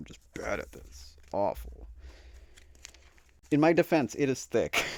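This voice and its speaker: A man speaks with long, frequent pauses. His loudness swings a great deal. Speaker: tarot YouTuber. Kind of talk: casual chat.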